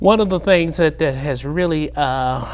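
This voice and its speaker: A man talks, and the room around him gives off audible echo. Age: 70s. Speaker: Vietnam war veteran. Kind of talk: TV interview. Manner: halting.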